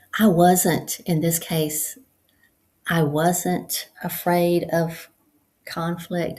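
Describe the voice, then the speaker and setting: Somewhat breathy and dark, mellow in tone, the voice moves at a very slow pace with monotone, flat intonation. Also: woman. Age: 60s. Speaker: support group host. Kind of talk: casual monologue. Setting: at home on computer. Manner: hesitant, many fillers.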